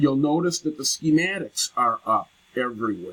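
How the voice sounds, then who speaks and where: The man's tone is bright and sharp. His sound is dry and close, without any echo. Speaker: college program director. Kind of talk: recorded presentation.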